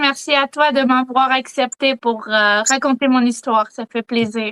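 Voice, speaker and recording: In a Quebec accent, a woman's raised, projected voice sounds bright and sharp at a high pitch, recorded dry and close with no echo. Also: hardly any pauses. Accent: Quebec French, clear. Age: 20s. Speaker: eyewitness. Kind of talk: testimony. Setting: video call.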